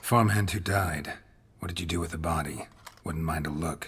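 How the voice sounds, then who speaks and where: Delivered at a moderate pace, the put-on character voice sounds raspy. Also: man, very deep, low pitch for a man. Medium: video game. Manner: terse, dry, low-key.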